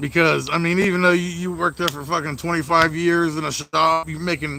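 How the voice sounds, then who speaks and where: His intonation is monotone and flat. The man speaks at a moderate pace in a fairly high pitch. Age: 30s. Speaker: mobile mechanic and livestreamer. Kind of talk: casual livestream chat. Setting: outdoors by the garage. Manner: casual, lots of swearing fillers.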